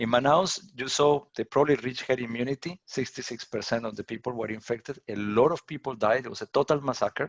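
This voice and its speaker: With a Colombian accent, a man talks at a very fast pace with hardly any pauses, using a medium pitch with ordinary pitch variation in a dry, close sound with no echo. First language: Spanish. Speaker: professor. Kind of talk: lecture Q&A. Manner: repetitive, restarts words.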